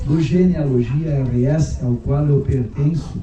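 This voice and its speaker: Noticeable background noise and audible room echo surround a man speaking very slowly. His pitch varies in an ordinary way. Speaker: book author, genealogist. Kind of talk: speech at inauguration ceremony.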